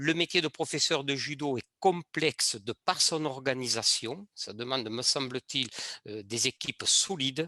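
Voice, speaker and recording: A man with a bright, sharp, fairly high voice speaks at a fairly slow pace with ordinary pitch variation. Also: dry, close sound with no echo. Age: 60s. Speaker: judo club leader and former teacher. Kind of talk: panel discussion. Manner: hesitant, many fillers.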